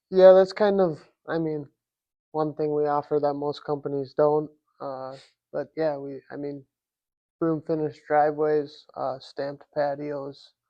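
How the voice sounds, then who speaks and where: A man with a fairly high pitch talks at a fairly slow pace, with long, frequent pauses. His intonation is monotone and flat, while his loudness swings widely. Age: 20s. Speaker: concrete contractor. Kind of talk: casual interview.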